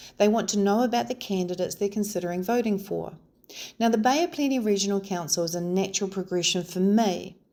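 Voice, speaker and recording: Against a silent background in a very clean recording, a woman with a New Zealand accent speaks very fast in a medium pitch, her tone dark and mellow with ordinary pitch variation. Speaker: local election candidate. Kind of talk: campaign video talk to camera.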